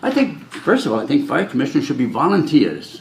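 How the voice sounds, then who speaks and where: Speaking with an American accent, a man swings very widely in pitch. Noticeable background noise and audible room echo surround him. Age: 70s. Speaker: fire commissioner candidate. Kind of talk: interview.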